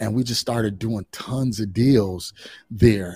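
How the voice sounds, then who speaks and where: A man with an American accent speaks at a moderate pace in a medium pitch, his dark, mellow tone somewhat breathy, in a very clean recording with a silent background and a dry, close sound with no echo. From Chicago area, Illinois. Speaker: real estate investor and coach. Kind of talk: interview.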